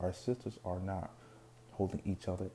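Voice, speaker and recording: A man speaks at a moderate pace with a fairly low pitch. His tone is dark and mellow, and somewhat breathy. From Caribbean. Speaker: podcast host. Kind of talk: solo commentary monologue. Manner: halting, many repetitions and fillers.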